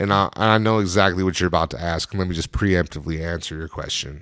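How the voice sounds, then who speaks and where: This man's voice is very deep and low, yet bright and sharp in tone. His pitch varies in an ordinary way. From Wyoming. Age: 30s. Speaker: rapper. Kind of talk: casual chat.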